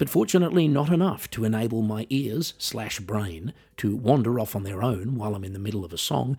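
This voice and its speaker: A man with an Australian accent, fairly low-pitched and somewhat breathy, with lively intonation at a fairly quick pace, on a very clean recording with a silent background. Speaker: podcast host and musician. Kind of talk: scripted monologue.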